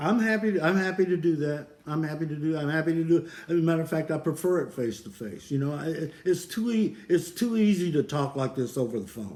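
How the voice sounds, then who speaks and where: Over noticeable background noise, a man with a fairly high pitch talks with lively intonation and hardly any pauses. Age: 70s. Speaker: military veteran. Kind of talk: phone call with doctor. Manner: halting, repetitive; terse, blunt.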